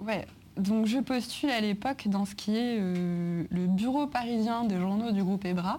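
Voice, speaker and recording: This woman has an unremarkable speaking voice at medium pitch, talking at a fairly slow pace with ordinary pitch variation. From France, Grenoble. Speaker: music journalist. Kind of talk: interview in front of a live audience.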